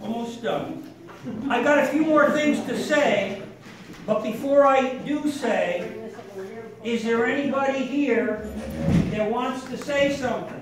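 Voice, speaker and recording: Through loud background noise and audible room echo, a man speaks at a very slow pace with long, frequent pauses. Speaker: family member giving a tribute. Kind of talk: birthday speech. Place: hall.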